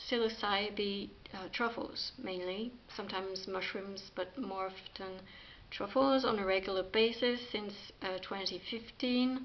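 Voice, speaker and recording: A woman with a French accent, speaking at a very slow pace. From France. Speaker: spiritual practitioner, video creator. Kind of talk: talk to camera, partly reading an article. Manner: halting, many fillers.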